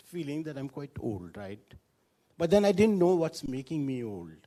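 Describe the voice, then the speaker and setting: A man speaks in a dark, mellow tone at a moderate pace. His pitch swings very widely. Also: big swings in loudness. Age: 60s. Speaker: hospital executive. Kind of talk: public talk.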